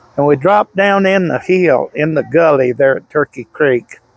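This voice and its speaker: Someone with a Southern US accent speaks at a fairly slow pace in a dry, close sound with no echo. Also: man. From Louisiana. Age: 70s. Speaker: eyewitness, hunter. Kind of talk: interview testimony.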